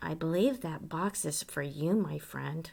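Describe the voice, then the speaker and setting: A raspy, very deep and low put-on character voice from a woman at a moderate pace. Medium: read story. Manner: casual, bright.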